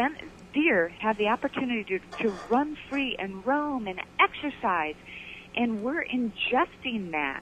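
A woman with a Michigan accent talks at a fairly slow pace, her high pitch moving in very wide swings. Noticeable background noise runs underneath. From Michigan, Detroit area. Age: 50s. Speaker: fitness presenter and author. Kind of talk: casual chat. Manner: animated.

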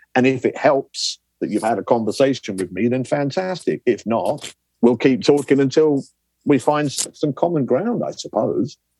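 In a southern English accent, a man talks at a moderate pace with a fairly high, dark, mellow voice and lively intonation, the sound dry and close with no echo. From southern England. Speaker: lecturer. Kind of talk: interview. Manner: energetic.

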